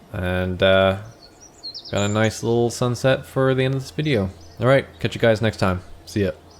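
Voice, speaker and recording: A man's medium-pitched voice, long and frequent pauses, noticeable background noise. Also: moderate pace. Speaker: gaming youtuber. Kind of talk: gameplay tutorial commentary. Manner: monotone.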